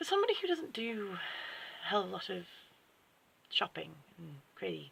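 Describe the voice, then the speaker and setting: Here is an English accent. The pace is fairly quick. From England. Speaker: book vlogger. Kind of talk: unboxing video chat. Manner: casual, with fillers and restarts.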